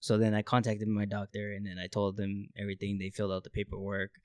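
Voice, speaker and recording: The man talks at a very fast pace. His pitch is fairly low. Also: very clean recording, silent background. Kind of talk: casual chat.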